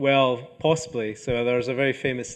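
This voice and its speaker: A man with a Scottish accent, medium pitch and fairly even intonation, against a quiet background. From northeast Scotland. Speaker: archaeology professor. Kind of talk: lecture Q&A. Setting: lecture hall with audience.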